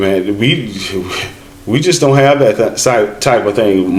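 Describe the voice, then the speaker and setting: A man with an American accent talks at a fairly slow pace and medium pitch, with ordinary pitch variation, audible room echo and noticeable background noise. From United States. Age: 50s. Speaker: travel vlogger. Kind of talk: casual chat.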